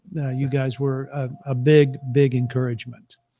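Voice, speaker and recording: A fairly high-pitched man with an American accent, his tone dark and mellow, at a fairly slow pace in a dry, close sound with no echo. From West Texas, Louisiana and Oklahoma. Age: 60s. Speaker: author and parenting speaker. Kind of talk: casual interview. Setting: virtual live event.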